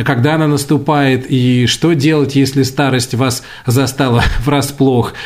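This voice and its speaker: This man has a normal speaking voice with a fairly high pitch. His intonation stays fairly even. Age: 40s. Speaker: radio host. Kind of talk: casual chat. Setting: recording at home during self-isolation. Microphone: poor sound quality.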